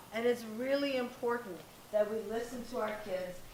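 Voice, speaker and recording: A woman speaks loudly in a high voice, with audible room echo and noticeable background noise. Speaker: parenting coach and guest speaker. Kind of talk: talk to live audience. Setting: stage with audience, no microphone. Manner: animated.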